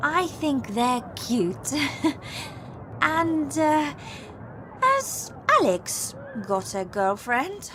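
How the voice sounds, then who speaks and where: A high-pitched woman's voice at a very slow pace, with very wide pitch swings, amid noticeable background noise. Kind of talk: scripted English-learning dialogue.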